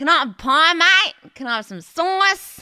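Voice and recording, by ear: In a put-on character voice with an Australian accent, the speaker goes at a moderate pace with an extremely high, nasal pitch.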